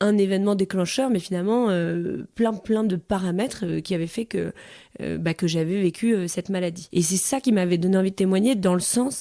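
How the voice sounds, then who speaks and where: A moderate pace and ordinary pitch variation on a very clean recording with a silent background. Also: woman, medium pitch for a woman. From provincial France. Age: 30s. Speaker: interviewee, mother. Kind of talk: testimony. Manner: hesitant, many fillers.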